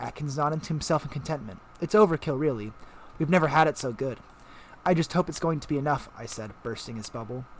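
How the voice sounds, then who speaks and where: The delivery is very fast. The intonation rises and falls in a lively way. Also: man. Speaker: audiobook narrator. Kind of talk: audiobook reading.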